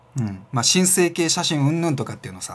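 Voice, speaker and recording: A man's somewhat breathy voice at a very fast pace, with very wide pitch swings. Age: 40s. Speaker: self-employed business vlogger; freelance business vlogger. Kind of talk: casual monologue vlog. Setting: home studio with camera and lights. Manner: filler-heavy, rambling delivery. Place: home room.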